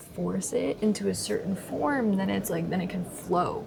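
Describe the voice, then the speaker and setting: With noticeable background noise around her, a woman speaks at a fairly slow pace. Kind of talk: casual diary-style talk to camera. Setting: outdoors by the ocean. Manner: hesitant, with pauses and stutters; rambling stream of consciousness.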